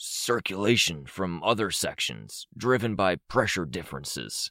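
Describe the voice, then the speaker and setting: A raspy, put-on character voice is heard. The recording is very clean with a silent background and a dry, close sound with no echo. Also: man, fairly low pitch for a man, moderate pace. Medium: read story. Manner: emotionless, matter-of-fact.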